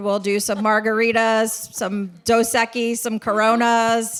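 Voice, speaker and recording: A woman speaks at a fairly high pitch in a very clean recording with a silent background. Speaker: title company representative. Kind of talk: sponsor pitch at event. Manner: loud.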